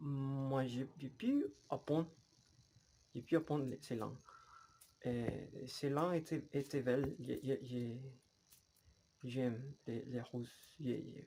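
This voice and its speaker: A man's dark, mellow voice at a medium pitch, with a Spanish accent, very slow pace, fairly even intonation and long, frequent pauses. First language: Spanish (speaking French). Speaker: language learner vlogger. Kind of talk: casual vlog monologue. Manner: halting, many repetitions.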